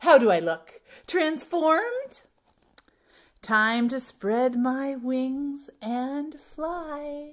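A woman uses a put-on character voice at a high pitch. She talks at a very slow pace with lively intonation.

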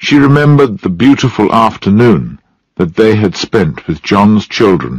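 The background is quiet. This is a natural reading voice.

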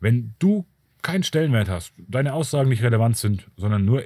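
The man sounds somewhat breathy, and his intonation is lively. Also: very clean recording, silent background. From Bavaria. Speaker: YouTuber on narcissism and self-protection. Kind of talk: solo video monologue.

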